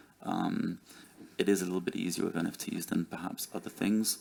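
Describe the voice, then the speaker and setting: This man speaks with a British accent. His pace is moderate. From United Kingdom. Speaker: startup CEO, conference panelist. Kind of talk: conference panel discussion. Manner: hesitant, many fillers and restarts.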